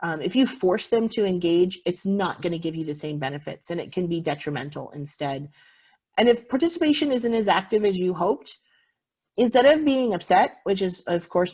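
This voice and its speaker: Her pitch swings very widely at a fairly quick pace. The woman's tone is dark and mellow, somewhat breathy too. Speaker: visitor center manager. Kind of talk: conference presentation. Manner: fast.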